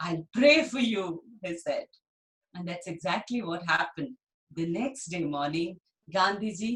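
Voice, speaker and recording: With an Indian accent, this somewhat breathy voice moves through very wide pitch swings. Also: woman. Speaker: storyteller. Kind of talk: storytelling for children. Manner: animated, acts out character dialogue.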